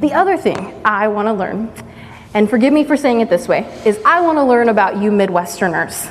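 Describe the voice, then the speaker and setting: Noticeable background noise and audible room echo accompany a woman with an American accent, fairly high pitch, lively intonation and a fairly quick pace. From East Texas. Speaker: pastoral resident. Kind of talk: church interview testimony.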